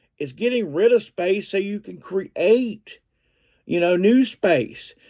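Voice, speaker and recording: A man speaks with a Southern US accent. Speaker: reseller vlogger. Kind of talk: casual vlog talk. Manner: halting, with fillers and repeats.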